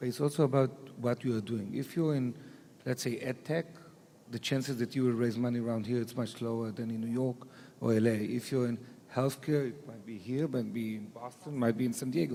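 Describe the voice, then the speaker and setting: The speaker talks fairly quickly in an Israeli accent, with fairly even intonation. The tone is dark and mellow. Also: man, medium pitch for a man. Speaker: venture capital investor. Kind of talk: panel discussion.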